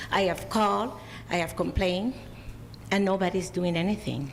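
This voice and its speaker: The voice carries a non-native accent. Audible room echo and noticeable background noise fill the recording. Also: woman. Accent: foreign. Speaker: public commenter at city council. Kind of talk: public comment. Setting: city council meeting.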